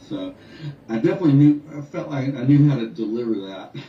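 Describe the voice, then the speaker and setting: This man talks at a fairly quick pace with an American accent and a medium pitch, over noticeable background noise and audible room echo. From North Carolina, US. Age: 60s. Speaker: musician. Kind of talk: radio interview.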